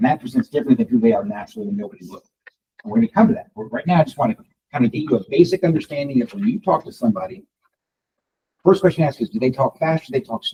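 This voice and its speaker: A man with a dark, mellow, high-pitched voice talks very fast, his pitch swinging very widely and his loudness rising and falling sharply, in a dry, close recording with no echo. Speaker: real estate coach and trainer. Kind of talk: live training session.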